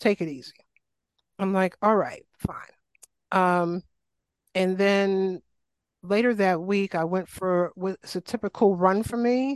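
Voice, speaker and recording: With an American accent, a woman speaks at a very slow pace and medium pitch, using ordinary pitch variation and long, frequent pauses, in a dry, close sound with no echo. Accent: faint New York, stronger back home. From New York City, Queens. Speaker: health and wellness coach, Lyme advocate. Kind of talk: life story interview.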